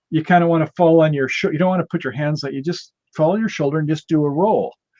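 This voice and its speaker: With a dark, mellow tone and a fairly high pitch, a man talks at a very fast pace. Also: ordinary pitch variation. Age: 70s. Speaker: panel talk participant. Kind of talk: casual chat. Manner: animated.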